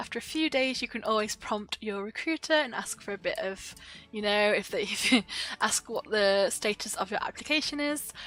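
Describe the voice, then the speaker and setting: A woman's fairly high, bright, sharp voice shows ordinary pitch variation in a dry, close sound with no echo. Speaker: online English teacher and YouTuber. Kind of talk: tutorial. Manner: fast; casual, filler-heavy.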